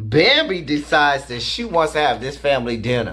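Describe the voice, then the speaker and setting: A man speaks at a fairly slow pace in an animated tone. His pitch variation is ordinary. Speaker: reality TV reviewer and teacher. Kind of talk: angry rant; casual video review and commentary. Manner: loud, fired-up, sarcastic and insulting; animated, casual and slangy. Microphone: webcam.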